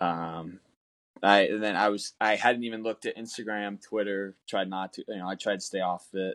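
A man with an American accent talks at a moderate pace and fairly low pitch, his intonation monotone and flat. The sound is dry and close with no echo. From Southern California. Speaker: professional baseball player. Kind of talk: interview. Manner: halting.

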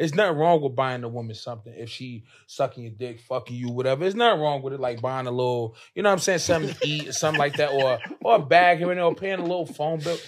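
A man with an American accent and a fairly high voice talks at a very fast pace. His intonation is lively and his loudness swings widely. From New Jersey. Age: 20s. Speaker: rapper. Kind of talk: casual chat.

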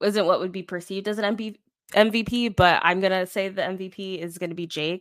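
In a very clean recording with a silent background, a woman with an American accent uses a plain, everyday voice at medium pitch, talking at a fairly quick pace with fairly even intonation. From Florida. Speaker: podcaster. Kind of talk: casual chat.

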